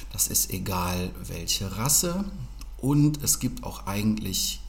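A man speaks at a very slow pace, with audible room echo around him. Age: 40s. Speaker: dog trainer. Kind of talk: casual interview.

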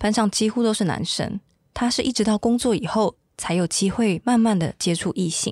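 Recorded very cleanly with a silent background and a dry, close sound with no echo, a plain, everyday voice speaks at a moderate pace with ordinary pitch variation. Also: woman. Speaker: podcast host and reporter. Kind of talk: scripted narration.

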